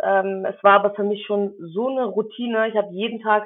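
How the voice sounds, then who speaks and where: This is an ordinary speaking voice, a woman's with fairly high pitch. She keeps a moderate pace and fairly even intonation. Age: 20s. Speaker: physician assistant student and medical assistant. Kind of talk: interview.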